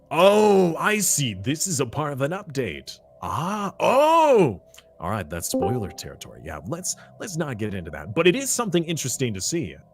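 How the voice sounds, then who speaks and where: Against noticeable background noise, a man with an American accent speaks at a moderate pace, his loudness swinging a lot. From US, California. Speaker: streamer and tournament caster. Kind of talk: casual live-stream commentary.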